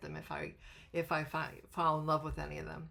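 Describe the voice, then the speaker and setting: At a moderate pace, a woman speaks with vocal fry and a very deep, low pitch. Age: 70s. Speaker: tarot YouTuber. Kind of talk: casual monologue to camera. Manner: halting, many fillers.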